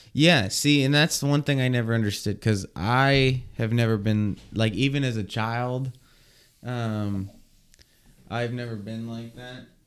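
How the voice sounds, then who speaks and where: In a very clean recording with a silent background, a man with an unremarkable speaking voice talks at a fairly slow pace and medium pitch, his intonation fairly even but his loudness swinging widely. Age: 20s. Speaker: podcast co-host. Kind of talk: casual chat.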